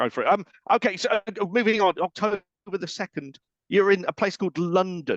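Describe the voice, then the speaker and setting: With an English accent, a man speaks at a high pitch and a fairly quick pace. His intonation is fairly even, and the sound is dry and close with no echo. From England. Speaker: radio host. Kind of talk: casual interview chat.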